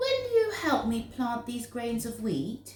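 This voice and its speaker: A woman does a put-on character voice, pitched high and delivered at a fairly slow pace. There is a slight echo. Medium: read story.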